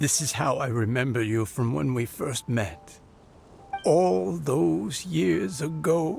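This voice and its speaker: With music in the background, a man puts on a character voice with a warm tone, medium pitch and very wide pitch swings, speaking at a fairly slow pace. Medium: video game. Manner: warm, wistful.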